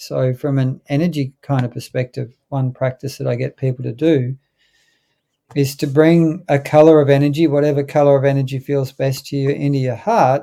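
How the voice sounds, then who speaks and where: A man's fairly high-pitched voice with an Australian accent, dark and mellow in tone, at a moderate pace with fairly even intonation. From North Queensland, Australia. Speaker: holistic veterinarian. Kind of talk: interview conversation.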